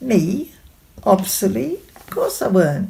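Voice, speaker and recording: A woman speaks with a Sheffield accent at a medium pitch. Her intonation is lively, and there is noticeable background noise. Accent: Sheffield Yorkshire dialect. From Sheffield, Yorkshire. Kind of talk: short story reading.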